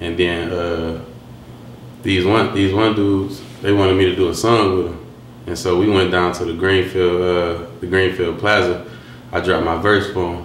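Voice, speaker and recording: In an American accent, a man speaks at a moderate pace with a very deep, low pitch and monotone, flat intonation, amid noticeable background noise and audible room echo. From Detroit, west side. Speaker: rapper. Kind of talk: interview. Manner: halting, with fillers.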